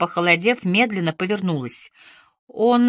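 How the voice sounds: The pitch varies in an ordinary way as a natural reading voice carries over a quiet background.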